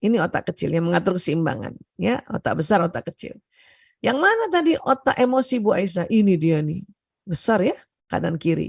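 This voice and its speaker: At a moderate pace, a woman talks in a dry, close sound with no echo against a quiet background. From Indonesia, Bugis Makassar heritage, Palembang mother. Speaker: doctor and seminar speaker. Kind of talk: seminar lecture. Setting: online video seminar. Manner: loud, hard for her to speak softly; often laughs.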